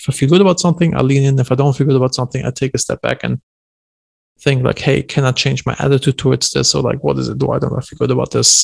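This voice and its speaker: A man talks at a very fast pace in a German accent, his medium-pitched voice flat and monotone with vocal fry. The sound is dry and close, with no echo. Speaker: entrepreneur. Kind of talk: podcast interview. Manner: casual.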